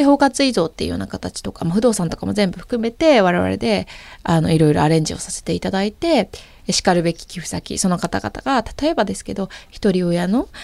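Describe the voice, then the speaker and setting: Her pace fairly quick, a woman speaks with big swings in loudness. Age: 30s. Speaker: startup founder and CEO. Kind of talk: interview.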